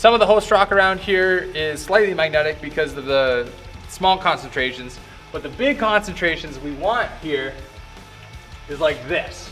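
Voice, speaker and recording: Faint music sits in the background. A man talks over it at a moderate speed. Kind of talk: casual vlog chat. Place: tunnel cave.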